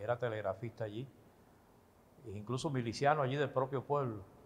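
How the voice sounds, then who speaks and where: A man speaks at a moderate pace in a medium pitch, with ordinary pitch variation and a somewhat breathy voice. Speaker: retired radio announcer telling his life story. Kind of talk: interview answer, recounting personal memories.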